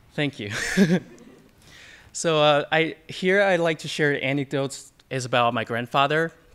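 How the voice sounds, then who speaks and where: A man with a Chinese accent and a bright, sharp, fairly high-pitched tone speaks with long, frequent pauses. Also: ordinary pitch variation, fairly slow pace. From China. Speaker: audience member. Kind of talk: audience question.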